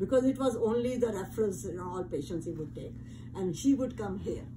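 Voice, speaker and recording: A woman speaks at a medium pitch and a moderate pace, her pitch swinging very widely. Room echo is audible. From India. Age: 80s+. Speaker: interviewee. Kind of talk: casual chat.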